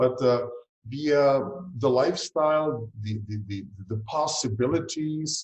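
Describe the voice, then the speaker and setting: With a Czech accent, a man talks at a fairly slow pace in a somewhat breathy voice. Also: medium pitch for a man, ordinary pitch variation. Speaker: fertility doctor. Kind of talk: interview. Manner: hesitant, many fillers.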